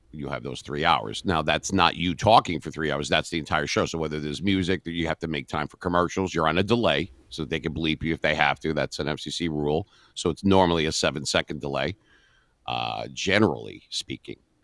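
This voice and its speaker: A man with a very deep, low voice and vocal fry speaks at a fairly quick pace with ordinary pitch variation. The sound is dry and close with no echo, in a very clean recording with a silent background. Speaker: radio DJ and voice actor. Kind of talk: interview answer.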